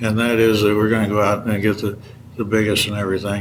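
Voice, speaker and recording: Very fast speech from a man, fairly low in pitch, with audible room echo. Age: 70s. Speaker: hunting magazine editor. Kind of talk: interview.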